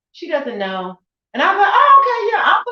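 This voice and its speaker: Speaking with an American accent at a moderate pace, a woman uses a raised, projected voice with very wide pitch swings. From United States. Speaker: event host. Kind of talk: panel discussion.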